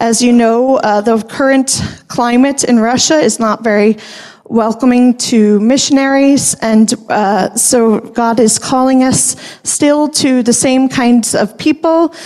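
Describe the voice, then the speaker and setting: With an American accent and a high pitch, a woman speaks at a very slow pace with fairly even intonation and very even loudness, over noticeable background noise. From Rochester, New York, US. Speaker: missionary wife and speaker. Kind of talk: personal introduction talk in church.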